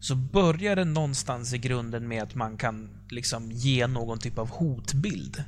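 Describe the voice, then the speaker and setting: Amid audible room echo, a somewhat breathy man at a medium pitch speaks at a fairly slow pace with lively intonation. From Sweden, Uppsala. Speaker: gaming podcast host. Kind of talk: casual chat.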